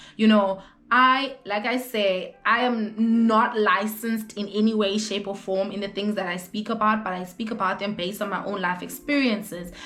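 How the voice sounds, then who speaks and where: A woman at medium pitch, with audible room echo and noticeable background noise. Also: fairly even intonation, moderate pace. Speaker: vlogger. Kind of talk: casual chat. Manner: loud.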